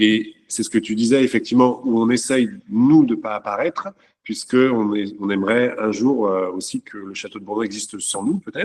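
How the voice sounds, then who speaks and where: A normal speaking voice moves at a moderate pace with ordinary pitch variation. Its loudness swings widely. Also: man, medium pitch for a man. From France. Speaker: château owner. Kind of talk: panel talk.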